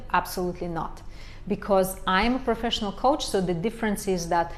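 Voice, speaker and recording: Here a woman speaks with a Romanian accent. Her pace is moderate. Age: 40s. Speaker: life coach. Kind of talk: live stream Q&A. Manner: halting, many fillers.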